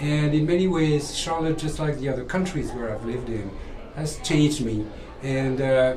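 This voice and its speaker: A man with a French accent and ordinary pitch variation, with audible room echo and noticeable background noise. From France. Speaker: museum visitor. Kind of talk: interview testimony.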